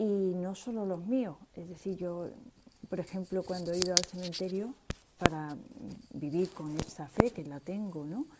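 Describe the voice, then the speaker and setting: At a fairly slow pace and medium pitch, a woman speaks with big swings in loudness over noticeable background noise. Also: ordinary pitch variation. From Seville, Spain. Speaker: listener taking part. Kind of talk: personal testimony.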